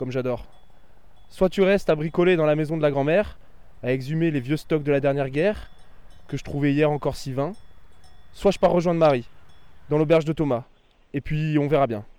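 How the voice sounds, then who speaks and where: Fairly quick in pace but with long, frequent pauses, a man speaks at a fairly high pitch. His tone is dark and mellow, with ordinary pitch variation. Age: 30s. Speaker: former teacher. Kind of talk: scripted narration.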